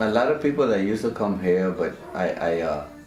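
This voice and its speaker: A man talks at a moderate pace, his pitch swinging very widely. Music plays in the background, and room echo is audible. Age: 60s. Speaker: CrossFit trainer, retired x-ray technician. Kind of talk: interview, personal story. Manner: halting, repeats words.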